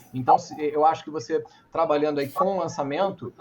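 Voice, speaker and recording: The speech comes very fast and somewhat breathy. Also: man. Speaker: entrepreneur and speaker. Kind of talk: talk with Q&A. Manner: animated.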